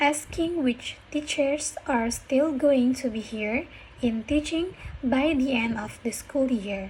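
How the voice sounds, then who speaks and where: A woman speaks very slowly in a high pitch. Noticeable background noise is present. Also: ordinary pitch variation. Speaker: university student. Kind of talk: reading a speech aloud for pronunciation practice. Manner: careful, deliberate.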